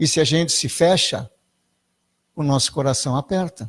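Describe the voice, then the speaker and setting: A man speaks in a somewhat breathy voice at a fairly high pitch and a moderate pace. The recording is very clean, with a silent background. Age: 60s. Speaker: spiritualist lecturer. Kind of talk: spiritual talk. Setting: spiritualist centre with audience.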